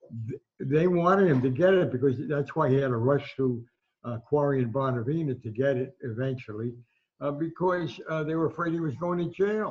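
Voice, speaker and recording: A man speaks at a fairly quick pace with a fairly high pitch and ordinary pitch variation. His voice is somewhat breathy. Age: 80s+. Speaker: veteran sports writer. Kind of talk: interview recollection.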